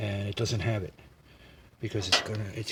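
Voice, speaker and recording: A man's fairly quick, monotone, flat delivery over noticeable background noise. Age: 70s. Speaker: vintage car mechanic, how-to video host. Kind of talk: casual explanation in the workshop. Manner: friendly.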